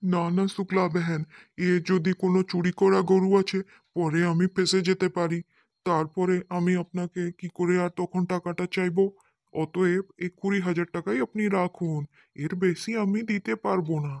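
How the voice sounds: A cartoonish character voice at a middle pitch, on a very clean recording with a silent background. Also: moderate pace.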